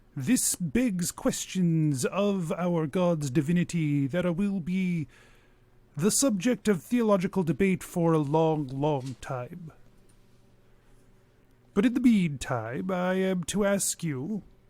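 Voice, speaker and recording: A man's put-on character voice, high in pitch and at a fairly slow pace. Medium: actual play. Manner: formal, measured.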